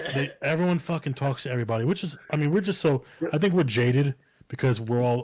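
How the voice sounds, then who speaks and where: Talking at a very fast pace, a man sounds somewhat breathy, and his pitch varies in an ordinary way. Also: fairly high pitch for a man. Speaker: podcast co-host. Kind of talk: casual chat. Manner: hard to follow.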